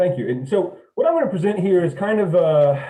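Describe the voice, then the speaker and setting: A man with a dark, mellow, somewhat breathy tone speaks at a fairly quick pace with lively intonation and audible room echo. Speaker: engineer presenting at a technical symposium. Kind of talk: technical presentation. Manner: fast; halting with repetitions.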